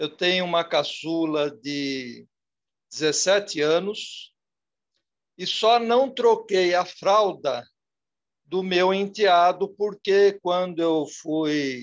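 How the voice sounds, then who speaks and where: A man's high voice at a very slow pace, broken by long, frequent pauses, with ordinary pitch variation against a quiet background. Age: 60s. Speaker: audience participant. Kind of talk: question in an online lecture Q&A. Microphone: mobile phone.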